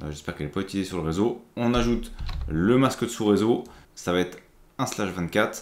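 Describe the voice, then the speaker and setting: A man at a very fast pace with long, frequent pauses, a fairly low pitch, and ordinary pitch variation. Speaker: IT tutorial creator. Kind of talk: tutorial. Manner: casual, with frequent hesitations.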